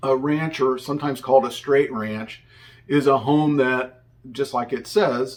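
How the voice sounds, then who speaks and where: A man speaks with a US Midwestern accent. His pitch is medium and his pace fairly slow. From Indiana, US Midwest. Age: 60s. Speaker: realtor. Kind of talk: tutorial. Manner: casual, conversational with fillers.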